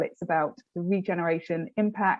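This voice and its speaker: A woman with a British accent and fairly low pitch, at a moderate pace with ordinary pitch variation. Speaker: public sector programme officer. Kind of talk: webinar presentation.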